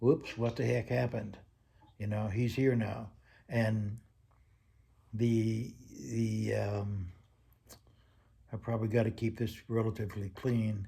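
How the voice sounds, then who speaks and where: Long, frequent pauses mark a fairly slow, somewhat breathy delivery with a dark, mellow tone and fairly even intonation. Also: man, fairly low pitch for a man. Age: 70s. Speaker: grandfather interviewed for a class. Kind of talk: casual interview.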